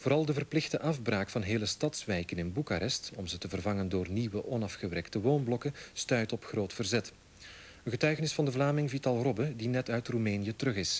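Speaking with a Flemish accent, a man talks at a fairly quick pace, his medium-pitched voice showing ordinary pitch variation. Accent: Flemish Dutch. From Belgium (Flanders). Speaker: news anchor. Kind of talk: 1989 TV news broadcast, scripted anchor delivery. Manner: formal, clear and authoritative. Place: studio.

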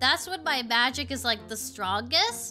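A woman's cartoonish character voice, high-pitched with a bright, sharp tone, lively intonation and a fairly slow pace, over faint music in the background.

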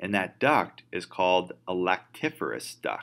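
The pace is very slow. It is a man speaking. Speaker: instructor. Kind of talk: lecture. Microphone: webcam.

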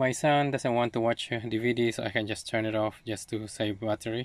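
The sound is dry with no echo. A man talks at a moderate pace with fairly even intonation. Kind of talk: tutorial. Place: car. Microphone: phone near.

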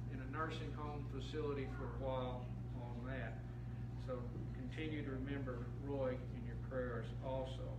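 Loud background noise surrounds a man who talks at a fairly slow pace. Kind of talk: announcements to the congregation. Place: church. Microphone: camera far.

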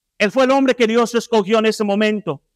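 The background is quiet as a man speaks. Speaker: guest preacher. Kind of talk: sermon. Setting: church. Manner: loud at times, raises voice. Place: church. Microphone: handheld.

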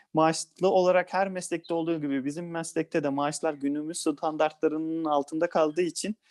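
An unremarkable speaking voice from a man, fairly high-pitched and fairly quick, with fairly even intonation, in a very clean recording with a silent background and a dry, close sound with no echo. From Balıkesir, Turkey. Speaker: lawyer. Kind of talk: interview.

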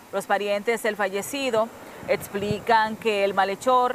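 Medium-pitched woman at a fairly slow pace, over noticeable background noise. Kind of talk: news reading. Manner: formal, steady newsreader delivery.

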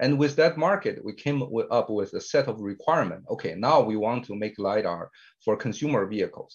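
Over a quiet background, the speaker sounds somewhat breathy, moving at a fairly quick pace with lively intonation. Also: man, medium pitch for a man. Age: 50s. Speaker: tech company CEO and co-founder. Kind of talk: interview. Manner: frequent filler hesitations. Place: home room. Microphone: webcam.

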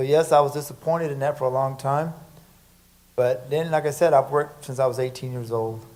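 It is a normal speaking voice from a man, fairly high in pitch. His intonation is fairly even and his pace fairly quick. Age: 40s. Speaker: city council candidate. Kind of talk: candidate forum debate. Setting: church stage with audience.

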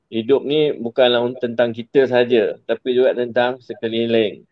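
His intonation stays monotone and flat. The man keeps a medium pitch at a moderate pace. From Negeri Sembilan, Malaysia. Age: 40s. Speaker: gadget business owner. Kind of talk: online interview. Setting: in his office.

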